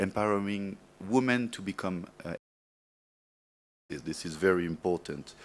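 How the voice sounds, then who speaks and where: A man with a strong French accent speaks at a very deep, low pitch and a moderate pace. The recording is very clean, with a silent background. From France. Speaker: media development project manager. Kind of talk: speech at awards event. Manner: halting, many fillers.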